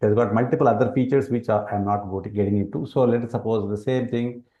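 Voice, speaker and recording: A man speaks with a Telugu accent in a medium-pitched voice with a dark, mellow tone. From India, Telangana. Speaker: educational product presenter. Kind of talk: product demonstration. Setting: webinar.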